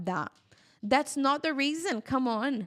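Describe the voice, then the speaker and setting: With a Brazilian accent, the speaker moves at a moderate pace and uses lively intonation. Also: woman. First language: Portuguese. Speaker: hair care educator and product seller. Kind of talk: live-stream tutorial with Q&A. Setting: live stream.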